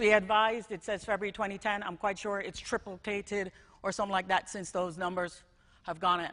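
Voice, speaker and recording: A woman speaks with a Jamaican accent at a medium pitch, at a fairly quick pace. Her intonation stays monotone and flat against a quiet background. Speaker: school technology director. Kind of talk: conference talk.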